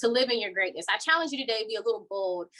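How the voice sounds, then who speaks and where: There is noticeable background noise. Through it, a woman speaks with lively intonation. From Kentucky. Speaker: diversity and inclusion educator. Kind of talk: motivational speech. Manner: halting, repeats words.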